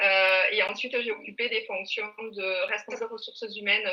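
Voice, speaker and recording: A woman speaks with a southern French accent. Her pace is moderate. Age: 40s. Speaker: outsourced HR director. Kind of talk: panel discussion. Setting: live video stream.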